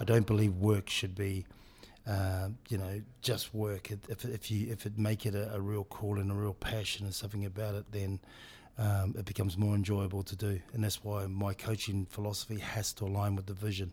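In a New Zealand accent, a man with a fairly low pitch and a somewhat breathy voice talks at a fairly quick pace with flat, monotone intonation on a very clean recording with a silent background. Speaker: rugby director of rugby. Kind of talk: interview. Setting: in person.

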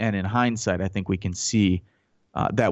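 An unremarkable speaking voice moves at a fairly quick pace. The background is quiet. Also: man. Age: 30s. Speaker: radio host and Iraq war veteran. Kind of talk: radio talk show monologue.

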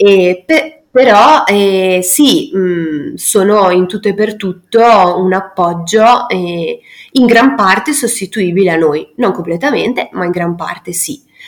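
A woman talks very slowly, her intonation lively. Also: medium pitch for a woman. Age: 30s. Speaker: educator living in an ecovillage. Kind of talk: interview. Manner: hesitant, many fillers.

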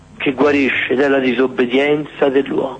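A man's voice against noticeable background noise. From Florence, Tuscany. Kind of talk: guided Eucharistic adoration prayer. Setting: church. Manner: slow.

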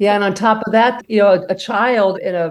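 At a moderate pace, a woman uses a normal speaking voice with fairly even intonation. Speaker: mother of injured student, safety advocate. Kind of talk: interview.

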